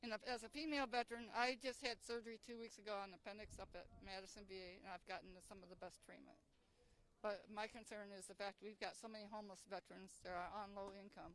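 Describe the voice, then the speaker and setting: Her pace very fast and her pitch medium, a woman keeps fairly even intonation while her loudness swings widely. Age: 60s. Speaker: army veteran. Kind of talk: street interview.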